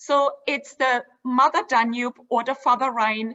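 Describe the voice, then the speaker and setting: In a German accent, the speaker talks at a fairly slow pace with fairly even intonation. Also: woman. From Germany (Dresden). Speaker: cruise line executive. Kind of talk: sales presentation. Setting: virtual event.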